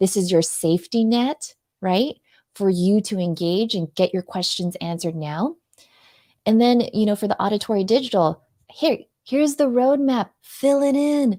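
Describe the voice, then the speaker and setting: The recording is very clean with a silent background, and the sound is dry and close with no echo. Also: woman, medium pitch for a woman, lively intonation. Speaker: live video strategist. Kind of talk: interview on live show. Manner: fast; sweet tone.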